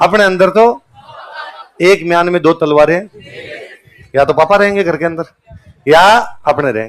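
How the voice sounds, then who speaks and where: An animated tone broken up by long, frequent pauses. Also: man, high pitch for a man, ordinary pitch variation. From Rajasthan, canal belt of Bikaner district. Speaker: teacher. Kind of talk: motivational talk to students. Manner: animated storytelling.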